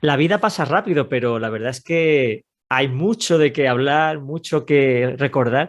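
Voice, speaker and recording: Against a quiet background, a man uses a normal speaking voice at a fairly high pitch. He talks at a fairly slow pace with ordinary pitch variation. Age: 50s. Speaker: radio host. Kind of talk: interview.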